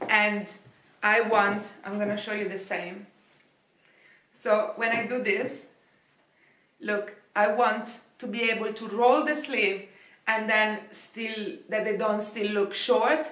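A woman with an Italian accent speaks at a very slow pace with fairly even intonation. Long, frequent pauses fill the recording, and there is audible room echo. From Italy. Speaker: fashion youtuber; fashion vlogger. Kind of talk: product review. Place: home room. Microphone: camera far.

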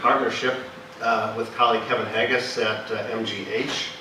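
A man talks at a moderate pace with audible room echo. There is light background noise. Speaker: speaker. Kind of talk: lecture. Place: hall.

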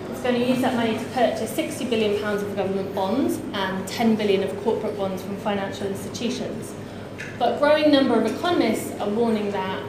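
There is noticeable background noise and audible room echo. Through it, a woman talks at a fairly quick pace. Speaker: campaign group director and panel chair. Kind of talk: panel chairing. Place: meeting room.

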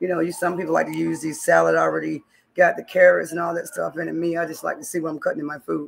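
Someone speaks at a very fast pace over light background noise. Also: woman. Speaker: home cooking streamer. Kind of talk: casual vlog chat. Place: kitchen. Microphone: webcam.

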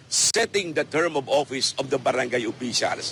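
A man's bright, sharp tone at a moderate pace. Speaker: election lawyer. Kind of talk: news interview soundbite.

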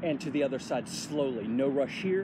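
Noticeable background noise sits behind a man who talks at a moderate pace. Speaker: fitness instructor. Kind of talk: tutorial. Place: open country. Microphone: phone near.

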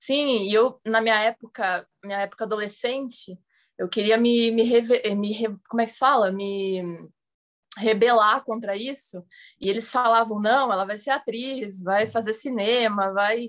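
A woman talks at a fairly slow pace in a fairly high pitch. She has a plain, everyday voice. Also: fairly even intonation, quiet background. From Santos, São Paulo coast, Brazil; São Paulo, Brazil. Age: 20s. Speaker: actress and filmmaker, art dealer; actress. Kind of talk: interview. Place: home room. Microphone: video call.

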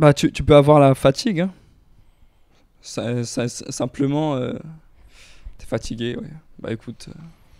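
A man with a fairly high pitch, ordinary pitch variation, a fairly slow pace, long, frequent pauses and big swings in loudness, in a dry sound with no echo against a quiet background. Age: young. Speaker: podcast guest. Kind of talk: casual chat. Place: home room. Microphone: handheld.

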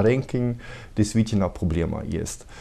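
A man with a German accent speaks at a fairly low pitch, his tone dark and mellow and his pitch varying in an ordinary way. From Germany. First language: German (speaking Russian). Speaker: tax consultant, company director. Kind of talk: TV interview. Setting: TV studio. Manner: halting, many hesitations. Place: office.

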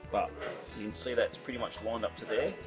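A man rattles off his words at a very fast pace, with clear music in the background. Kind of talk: casual workshop walkthrough. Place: garage. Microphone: phone near.

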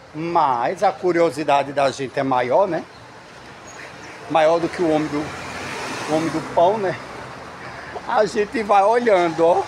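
A man speaks very slowly in a high voice with ordinary pitch variation. Light background noise can be heard. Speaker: travel vlogger. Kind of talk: casual vlog chat. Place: market. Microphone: phone near.

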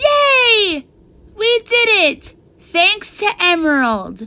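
A put-on character voice moves at a very slow pace, its pitch swinging very widely. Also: woman, extremely high pitch for a woman. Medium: voice reel. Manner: upbeat, excited.

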